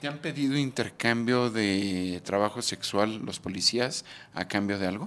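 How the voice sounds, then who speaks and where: A man talks at a fairly slow pace in a plain, everyday voice, medium in pitch with ordinary pitch variation. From Mexico. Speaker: YouTube documentary interviewer; interviewer, channel host. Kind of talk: street interview; scripted narration. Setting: outdoors. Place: home room. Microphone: handheld.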